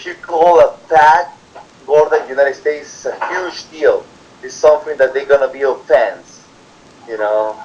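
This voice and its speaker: A man with a Spanish accent talks at a moderate pace, his loudness swinging widely, over noticeable background noise. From Peru. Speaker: immigrant worker interviewee. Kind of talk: interview. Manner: halting.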